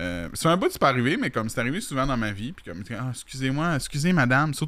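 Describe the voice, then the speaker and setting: A man talks at a very fast pace with a bright, sharp tone. His medium pitch carries lively intonation. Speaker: streamer and talk show host. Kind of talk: casual chat. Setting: live stream.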